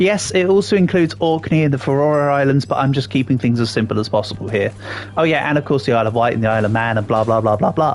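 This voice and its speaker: A man with an RP accent talks at a very fast pace and medium pitch, his intonation lively and his loudness very even. Noticeable background noise runs under him. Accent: near RP English. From England. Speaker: gaming streamer. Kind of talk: live gameplay stream chat, answering viewers. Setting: livestream. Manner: casual, chatty with fillers.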